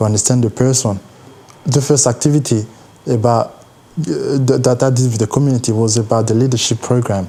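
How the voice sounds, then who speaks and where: A man at a fairly quick pace, very even in loudness and fairly even in intonation, over noticeable background noise. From DR Congo. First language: not English. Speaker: university student and youth mentor. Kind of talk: documentary interview.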